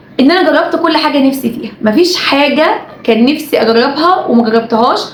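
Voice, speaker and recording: Amid noticeable background noise and audible room echo, a woman with a high pitch speaks at a fairly quick pace. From Egypt. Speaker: YouTuber and TV presenter. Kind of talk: casual vlog monologue.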